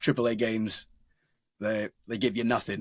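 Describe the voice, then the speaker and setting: A man's voice comes through dry and close with no echo, on a very clean recording against a silent background. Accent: Essex. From England, North Essex. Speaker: voice actor. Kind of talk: interview. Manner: casual, with many self-interruptions.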